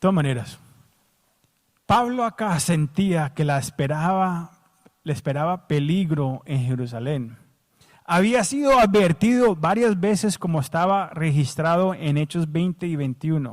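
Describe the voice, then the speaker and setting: With an English accent, a man speaks at a high pitch with lively intonation. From United States. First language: English (speaking Spanish). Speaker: pastor. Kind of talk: sermon.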